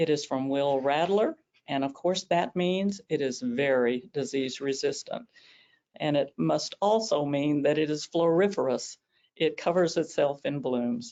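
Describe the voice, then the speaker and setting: With a Southern US accent, a woman speaks at a very deep, low pitch. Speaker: rose expert presenter. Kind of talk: webinar presentation. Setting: online webinar. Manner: hesitant with many fillers.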